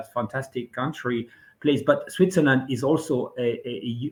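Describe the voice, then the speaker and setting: He speaks at a moderate pace. The man's voice has a somewhat breathy quality. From France (Brittany). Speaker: venture investor and author. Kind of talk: interview. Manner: halting.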